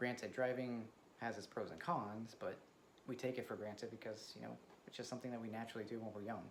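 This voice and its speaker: Over noticeable background noise and audible room echo, a man talks very fast in a flat monotone. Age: 30s. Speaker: vlogger. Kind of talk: casual personal vlog. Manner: soft-spoken; hesitant, many fillers.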